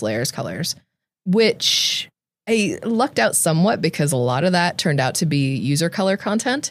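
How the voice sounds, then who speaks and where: Lively intonation marks a woman speaking at a moderate pace. The recording is very clean, with a silent background. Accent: Californian. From California, Central Valley (Tracy). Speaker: software engineer. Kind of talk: casual interview chat. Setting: studio.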